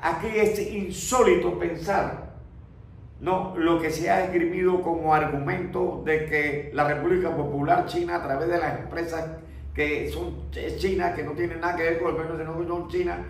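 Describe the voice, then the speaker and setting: Fairly even intonation amid noticeable background noise and audible room echo. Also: man, high pitch for a man, moderate pace. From Panama. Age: 70s. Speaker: former ambassador. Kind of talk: interview.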